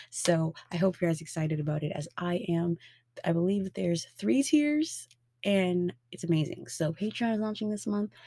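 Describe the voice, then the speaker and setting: A woman's somewhat breathy voice, dark and mellow in tone, moves with lively intonation. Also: moderate pace. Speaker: podcast host and tarot reader. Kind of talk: solo podcast monologue with tarot reading. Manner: warm, friendly, casual.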